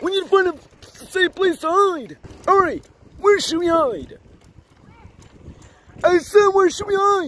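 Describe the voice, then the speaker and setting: The pitch here is extremely high. It comes from a cartoonish character voice. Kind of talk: playful kid puppet play. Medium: puppet show.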